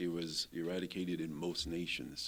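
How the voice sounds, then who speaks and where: A man speaks with a very deep, low pitch. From Ghana. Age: 70s. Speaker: retired university leader and author. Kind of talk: interview. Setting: studio.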